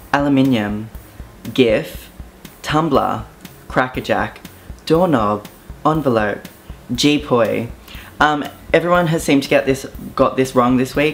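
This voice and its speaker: Speaking at a fairly slow pace in an Australian accent, the voice leaves long, frequent pauses. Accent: Australian, moderately strong. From southeast Queensland, Australia (Brisbane area). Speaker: YouTuber. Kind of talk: casual vlog, accent tag. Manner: casual, hesitant fillers.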